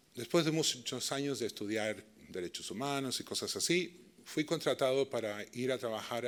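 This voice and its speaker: Speaking with a Chilean accent at a moderate pace, a man keeps a medium pitch with ordinary pitch variation. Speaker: peace and dialogue practitioner. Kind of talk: lecture.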